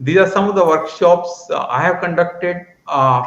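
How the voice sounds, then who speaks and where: Audible room echo surrounds a speaker with an Indian accent who talks at a moderate pace with ordinary pitch variation. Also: man. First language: Hindi. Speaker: math education entrepreneur. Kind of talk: conference presentation.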